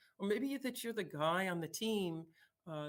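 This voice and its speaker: A woman's voice with ordinary pitch variation. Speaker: conference speaker. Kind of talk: conference talk. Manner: fast; halting, many fillers.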